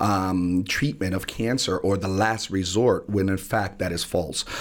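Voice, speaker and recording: Fairly low in pitch, a man speaks with an American accent. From New Haven, Connecticut (Hill section). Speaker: community health educator. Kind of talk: radio interview. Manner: hesitant, many fillers.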